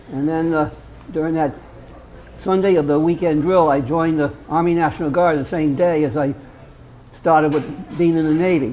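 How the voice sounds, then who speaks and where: A man with a fairly high voice speaks at a moderate pace with fairly even intonation and long, frequent pauses. Audible room echo and noticeable background noise surround him. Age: 70s. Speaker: military veteran. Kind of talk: roundtable storytelling. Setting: roundtable at a local venue. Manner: halting, many repetitions.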